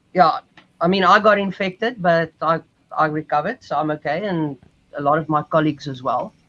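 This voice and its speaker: With a South African accent, a man speaks at a fairly quick pace in a high pitch, with a bright, sharp tone, ordinary pitch variation, and a dry, close sound with no echo. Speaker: cruise ship musician. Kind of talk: interview.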